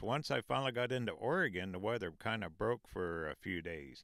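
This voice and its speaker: A man uses an ordinary speaking voice with a fairly low pitch at a moderate pace. The sound is dry with no echo, and the background is quiet. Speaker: travel vlogger. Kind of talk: casual vlog chat. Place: car. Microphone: handheld.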